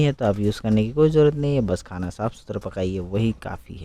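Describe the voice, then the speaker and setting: This man has a slight non-native accent. His tone is dark and mellow. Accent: non-native Hindi, slight. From Arunachal Pradesh, India. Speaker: home cooking video creator. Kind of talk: cooking tutorial. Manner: casual, conversational.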